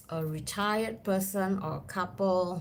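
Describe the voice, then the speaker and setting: A woman speaks at a very slow pace, her pitch medium. Audible room echo surrounds her voice. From Singapore. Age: 50s. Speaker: travel vlogger. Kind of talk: casual chat.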